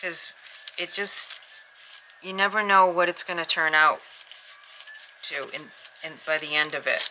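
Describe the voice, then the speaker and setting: A woman's fairly low voice at a fairly slow pace, with long, frequent pauses, big swings in loudness, fairly even intonation, and noticeable background noise. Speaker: junk journal crafter. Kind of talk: craft tutorial.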